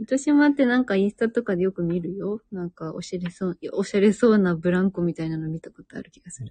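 With a dark, mellow, somewhat breathy tone, a woman at medium pitch talks at a very fast pace with lively intonation and big swings in loudness, in a dry, close sound with no echo. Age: 20s. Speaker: radio host, wife. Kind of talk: casual chat, live radio. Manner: relaxed, laid-back.

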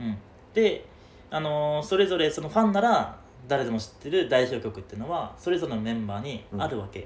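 Over audible room echo, a somewhat breathy man with a fairly high pitch talks at a fairly quick pace, his pitch swinging very widely. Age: 20s. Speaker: podcast co-host. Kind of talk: casual chat. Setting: rented studio space in Shibuya.

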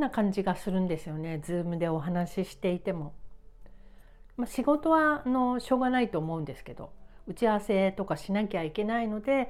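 With very wide pitch swings, a woman delivers her words at a fairly quick pace. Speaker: writer and podcaster. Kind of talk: casual monologue. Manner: casual, unpolished.

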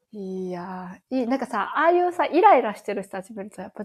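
A woman with a Kansai accent, fairly high-pitched, talking at a very fast pace with very wide pitch swings. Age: 30s. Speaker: podcast co-host. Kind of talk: casual chat.

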